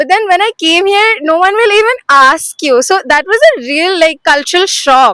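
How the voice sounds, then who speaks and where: Raising and projecting her voice, a woman speaks in a bright, sharp tone with lively intonation and a dry, close sound with no echo. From Assam, India. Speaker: student. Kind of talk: interview testimony.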